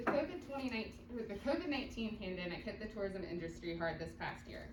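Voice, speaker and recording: Very wide pitch swings mark this very fast speech, heard with audible room echo and noticeable background noise. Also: woman, medium pitch for a woman. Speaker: tourism marketing staff. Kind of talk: presentation to county commission. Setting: public meeting, no microphone.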